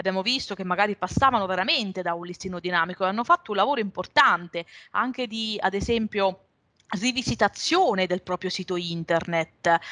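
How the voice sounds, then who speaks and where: A woman with a bright, sharp tone at a fairly quick pace, ordinary pitch variation and a quiet background. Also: medium pitch for a woman. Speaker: revenue management consultant; webinar presenter. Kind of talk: webinar presentation. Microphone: video call.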